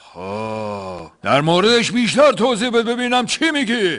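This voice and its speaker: A man adopts a put-on character voice pitched high. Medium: comedy sketch. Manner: lazy, grunting, easily swayed.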